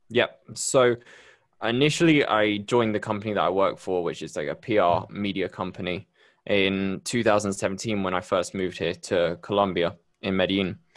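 A man with a Bristol accent at a moderate pace against a quiet background. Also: fairly low pitch for a man, ordinary pitch variation. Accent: British, Bristol-area. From Bristol, UK. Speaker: podcast host. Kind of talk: casual interview chat. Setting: video call.

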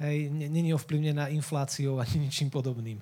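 On a very clean recording with a silent background, a man speaks at a moderate pace in a fairly high, somewhat breathy voice with a dark, mellow tone and fairly even intonation. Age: 20s. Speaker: youth worker and lay preacher. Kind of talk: sermon.

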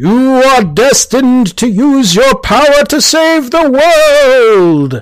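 A man performs a put-on character voice very slowly, with his pitch pushed extremely high. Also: hardly any pauses.

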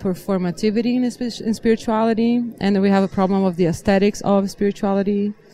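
Her voice dark and mellow, a woman talks at a fairly quick pace and medium pitch with ordinary pitch variation. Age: 40s. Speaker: roundtable participant. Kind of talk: panel discussion. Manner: talks in circles.

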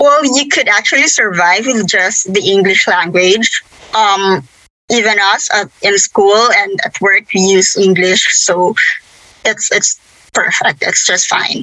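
In a Philippine accent, a woman speaks at a fairly slow pace with ordinary pitch variation and very even loudness. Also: medium pitch for a woman. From Philippines. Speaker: lawyer.

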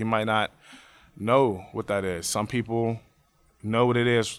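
This man has a normal speaking voice at medium pitch. He keeps a moderate pace and fairly even intonation. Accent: American. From Pittsburgh area, Pennsylvania (Braddock). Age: 20s. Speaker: teacher. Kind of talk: oral history interview.

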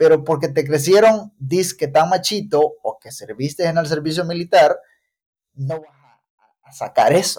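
A man's high voice at a fairly slow pace, with ordinary pitch variation, big swings in loudness, and long, frequent pauses. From El Salvador, Chalatenango. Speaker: mechanical engineer and military reservist. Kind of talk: casual conversation.

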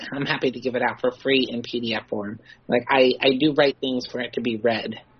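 With noticeable noise behind her, a woman talks at a fairly quick clip. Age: 40s. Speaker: comic book creator. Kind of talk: casual chat. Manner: halting.

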